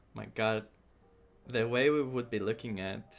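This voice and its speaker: Speaking fairly slowly, a man uses a medium-pitched voice. He has a non-native accent. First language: not English. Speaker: gaming streamer. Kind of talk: live game reaction. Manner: halting.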